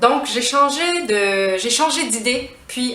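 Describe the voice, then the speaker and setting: A woman speaks at a very slow pace. Noticeable background noise is present. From Quebec. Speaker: French teacher. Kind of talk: language lesson to camera.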